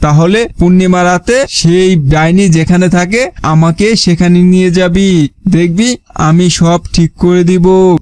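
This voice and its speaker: Putting on a gruff character voice, a man speaks very slowly in a high pitch, with fairly even intonation and very even loudness. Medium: cartoon. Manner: gruff, uses rough familiar address.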